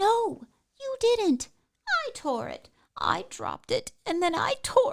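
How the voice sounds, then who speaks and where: A squeaky, put-on character voice at a fairly slow pace, with very wide pitch swings and long, frequent pauses. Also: woman, extremely high pitch for a woman. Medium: audio drama. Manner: timid, fretful.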